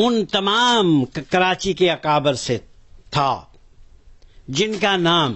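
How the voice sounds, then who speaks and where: Lively intonation marks the high-pitched speech of a man. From Pakistan, Azad Kashmir (Mirpur). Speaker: religious movement elder. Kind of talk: interview testimony.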